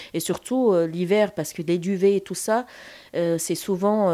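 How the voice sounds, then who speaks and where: This woman's medium-pitched voice has a dark, mellow tone and fairly even intonation. The recording is very clean, with a silent background. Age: 50s. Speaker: charity founder and childminder. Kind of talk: interview. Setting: at her home. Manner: hesitant, many fillers.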